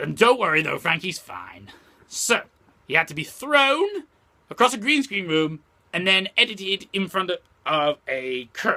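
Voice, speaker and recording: A man's cartoonish character voice, high in pitch, at a moderate pace with long, frequent pauses. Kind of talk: casual talk to camera. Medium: puppet. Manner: ranting, irritated.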